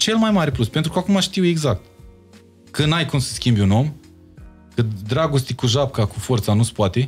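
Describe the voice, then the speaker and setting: A man speaks at a moderate pace with very wide pitch swings and long, frequent pauses, while faint music plays in the background. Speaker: singer. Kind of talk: podcast interview answer. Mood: reflective, personal. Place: studio. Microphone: studio mic.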